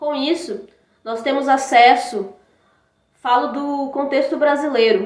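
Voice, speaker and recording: Her pitch high, a woman with a Brazilian accent speaks at a very slow pace. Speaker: academic presenter. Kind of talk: conference presentation.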